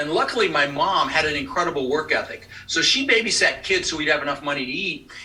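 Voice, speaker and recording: A man speaks very fast while noticeable background noise runs behind him. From Colorado, US (immigrated from the Netherlands at six). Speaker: real estate investor and trainer. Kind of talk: podcast interview.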